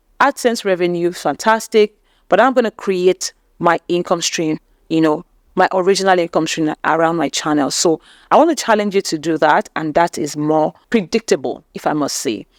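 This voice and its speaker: In a very clean recording with a silent background and a dry, close sound with no echo, a woman with a Nigerian accent speaks at a moderate pace with lively intonation. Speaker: YouTube growth coach. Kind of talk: channel review tutorial.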